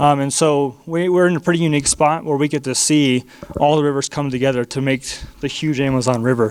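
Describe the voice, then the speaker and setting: Speaking at a very fast pace, a man with a Texan accent has a fairly high pitch. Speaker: missionary. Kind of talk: church missionary presentation. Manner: excited, animated.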